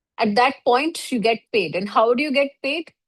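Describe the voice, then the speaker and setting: A woman's unremarkable speaking voice, fairly high in pitch, with lively intonation at a moderate pace over a quiet background. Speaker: online course instructor. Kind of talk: lecture.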